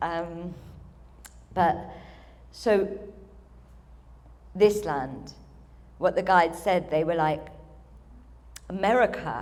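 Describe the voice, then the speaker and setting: A woman's fairly low voice in a British accent, very slow, with long, frequent pauses and audible room echo. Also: ordinary pitch variation. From UK. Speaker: spiritual channeler, event speaker. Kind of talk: ceremony speech, channeled address. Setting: stage with audience.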